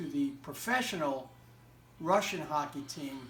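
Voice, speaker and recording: A man speaks with an American accent. Music plays in the background, and room echo is audible. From United States. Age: 60s. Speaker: interviewee recalling a historic hockey game. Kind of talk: interview. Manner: halting, many fillers.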